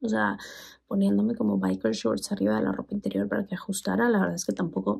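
A woman whispers at a fairly quick pace against a quiet background. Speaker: sex educator and vlogger; sex educator vlogger. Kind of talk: product review vlog. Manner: very quiet, near whisper. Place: bathroom. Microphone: phone near.

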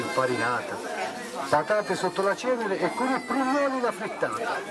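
A man talks at a fairly quick pace, his pitch swinging very widely. Crowd noise carries in the background. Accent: Tuscan. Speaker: dialect poet. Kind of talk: poetry reading. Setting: outdoors. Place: street. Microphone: handheld.

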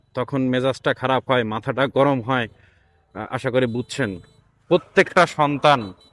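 Heard with a dry, close sound and no echo, a man talks at a medium pitch. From Bangladesh, Khulna. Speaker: cat-keeping vlogger. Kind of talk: casual vlog monologue. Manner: animated.

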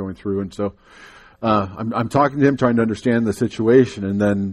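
A man's normal speaking voice, fairly low in pitch, fairly quick, with fairly even intonation over a quiet background. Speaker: guest. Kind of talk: sermon. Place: church.

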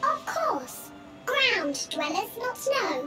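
An extremely high-pitched, put-on character voice is heard. Loud background noise is present.

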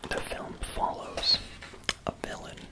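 Soft-spoken whispering at a very slow pace, against loud background noise. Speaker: book reviewer. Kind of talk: commentary on a film book. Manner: soft ASMR whisper while paging.

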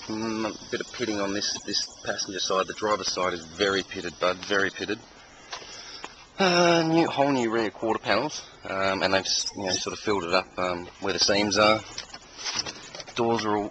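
A man speaks at a moderate pace in a fairly low voice with ordinary pitch variation, taking long, frequent pauses, on a dry recording with no echo and noticeable background noise. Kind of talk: casual walkaround commentary. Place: street.

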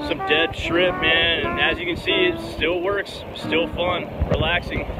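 Loud background noise sits behind a man speaking. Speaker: fishing vlogger. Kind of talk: casual vlog chat. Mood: relaxed, content. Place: beach. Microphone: phone near.

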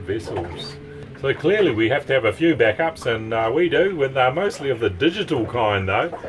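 There is clear music in the background as a man speaks. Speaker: sailing vlogger. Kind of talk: casual vlog chat. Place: boat. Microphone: phone near.

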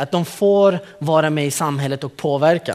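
A man is talking. His pace is fairly slow. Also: quiet background. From Kurdistan, northern Iraq; raised in Malmö, Sweden from age 12; Iraq. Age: 30s. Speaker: youth program leader. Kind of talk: conference talk. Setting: stage with audience. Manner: animated, joking. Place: hall. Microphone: podium.

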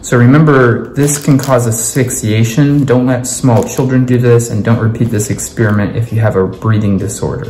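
A man at medium pitch and a moderate pace, ordinary pitch variation, audible room echo and light background noise. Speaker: home science presenter. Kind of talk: science demonstration talk. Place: kitchen. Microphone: phone near.

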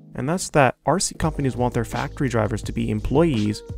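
Very fast speech from a man, with music behind it. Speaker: RC racing hobbyist. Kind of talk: commentary voice-over.

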